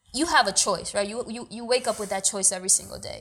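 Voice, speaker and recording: In a normal speaking voice, a woman talks with ordinary pitch variation at a fairly high pitch, in a very clean recording with a silent background. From New York City, Washington Heights (Dominican family). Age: young. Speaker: actor and producer. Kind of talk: casual interview.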